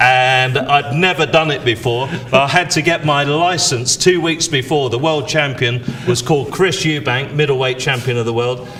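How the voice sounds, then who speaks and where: Moderate speed and fairly even intonation, with noticeable noise behind. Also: man. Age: 60s. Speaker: auctioneer. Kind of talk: live auction presenting.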